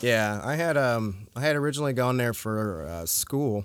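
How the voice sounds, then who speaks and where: A man with an American accent and a plain, everyday voice, medium in pitch with ordinary pitch variation. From US, northern Virginia (Fairfax County). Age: 30s. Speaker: metal guitarist. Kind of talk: casual chat. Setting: storage unit.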